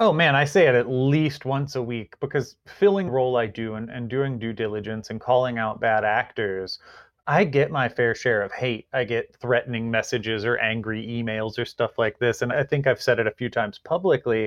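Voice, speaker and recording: A man with an American accent and an ordinary speaking voice, medium in pitch, with ordinary pitch variation, a moderate pace and hardly any pauses. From rural Virginia. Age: 30s. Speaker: cannabis industry executive, military veteran. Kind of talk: interview conversation.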